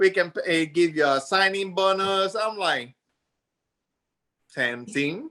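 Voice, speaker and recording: A man speaks in a raised, projected voice, high-pitched for a man, with a bright, sharp tone and lively intonation. His pace is very slow, with long, frequent pauses. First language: Spanish. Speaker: army veteran and business owner. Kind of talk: interview. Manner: animated.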